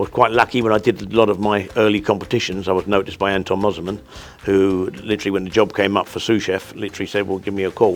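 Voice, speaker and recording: A man with a London accent, fairly low-pitched, talking at a very fast pace. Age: 60s. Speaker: chef. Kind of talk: interview. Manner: halting, with many repeated words.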